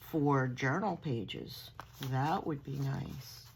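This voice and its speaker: A woman in a Long Island accent, very deep and low in pitch, with vocal fry and a very slow pace. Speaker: crafting vlogger. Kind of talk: haul video show-and-tell. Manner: animated.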